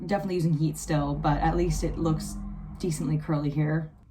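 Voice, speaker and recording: A woman speaks at a fairly quick pace with a fairly low pitch. Her tone is dark, mellow and somewhat breathy. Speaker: beauty vlogger. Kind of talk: casual storytime vlog.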